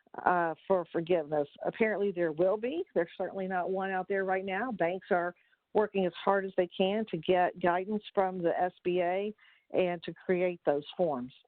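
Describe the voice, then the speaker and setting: A woman talks at a moderate pace. She has a plain, everyday voice. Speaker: accountant presenting tax webinar. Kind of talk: webinar presentation. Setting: conference call.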